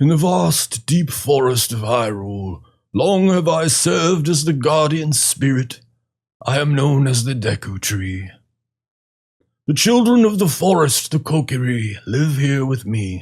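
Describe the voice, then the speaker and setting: This is a put-on character voice with a solemn tone. It moves at a fairly slow pace. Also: man, medium pitch for a man. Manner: wise, solemn, ponderous.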